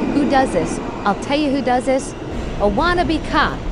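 A high-pitched woman amid noticeable background noise. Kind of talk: angry rant. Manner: loud, sneering, sarcastic and accusatory.

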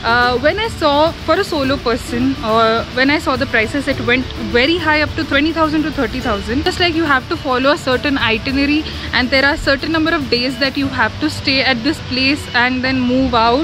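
Moderate-paced speech with ordinary pitch variation, dry with no echo, over clear background music. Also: woman, high pitch for a woman. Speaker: travel vlogger. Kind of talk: casual vlog chat. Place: garden. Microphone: phone near.

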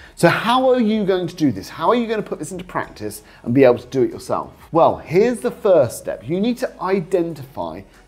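A man talks at a fairly quick pace. Faint music plays in the background. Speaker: property investment coach. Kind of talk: talking-head explainer. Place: studio. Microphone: lapel.

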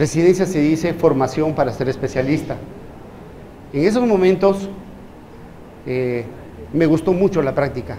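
A man's fairly high voice with ordinary pitch variation at a moderate pace, long, frequent pauses, audible room echo and noticeable background noise. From Peru. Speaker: physician. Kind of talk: lecture.

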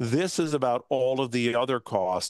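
The background is quiet and the sound is dry, with no echo. A man uses an ordinary speaking voice at a medium pitch. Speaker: automotive radio reporter. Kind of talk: news interview. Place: home room. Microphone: video call.

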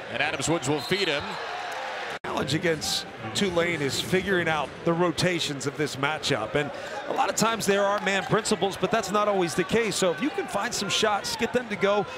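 Noticeable background noise sits behind a man with a high pitch and a fairly quick pace. His loudness stays very even and his pitch varies in an ordinary way. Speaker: color commentator. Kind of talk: live sports commentary, analyst-style. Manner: measured, conversational analysis.

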